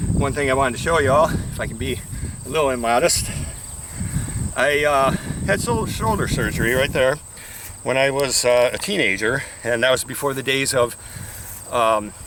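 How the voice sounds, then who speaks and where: With long, frequent pauses, a man talks at a fairly quick pace over noticeable background noise. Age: 60s. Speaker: fitness instructor. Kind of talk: tutorial. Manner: casual, halting with fillers.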